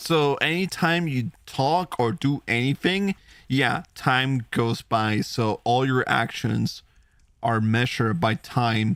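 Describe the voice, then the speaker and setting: Speaking with a Spanish accent, a man talks very slowly in a medium pitch with lively intonation and very even loudness. The recording is very clean and silent in the background, dry and close with no echo. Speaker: vtuber gaming streamer. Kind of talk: live gameplay stream commentary. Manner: casual, chatty.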